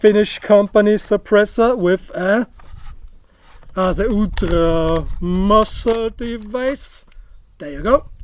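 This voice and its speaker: The speaker has an Austrian accent and ordinary pitch variation. The sound is dry, with no echo. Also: man. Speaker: firearms YouTuber; firearms reviewer. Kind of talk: gear review tutorial. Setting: outdoor shooting range. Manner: casual, joking. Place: open country. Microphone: lapel.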